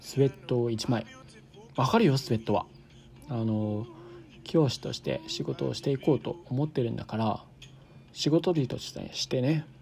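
A man with a medium pitch has a dark, mellow tone and sounds somewhat breathy. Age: 20s. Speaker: podcast host. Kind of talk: casual solo monologue. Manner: animated.

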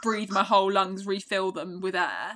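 A woman's bright, sharp tone at a medium pitch. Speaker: fitness podcast co-host. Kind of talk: casual chat. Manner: fast.

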